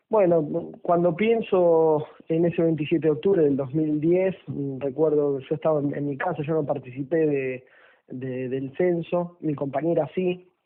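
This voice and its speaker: A man with a fairly high pitch speaks at a fairly slow pace, his pitch varying in an ordinary way. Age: 30s. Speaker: political activist. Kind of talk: radio interview. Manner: hesitant, many fillers.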